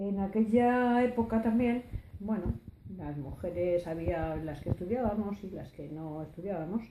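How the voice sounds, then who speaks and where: A woman's dark, mellow tone, fairly slow in pace and lively in intonation. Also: medium pitch for a woman. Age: 60s. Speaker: oral history interviewee. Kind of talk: testimony. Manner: halting, many hesitations.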